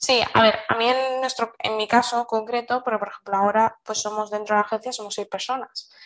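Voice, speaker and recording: At a fairly quick pace with hardly any pauses, a woman speaks in a fairly high, monotone and flat voice. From Seville, Spain. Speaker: marketing agency owner. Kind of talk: casual interview.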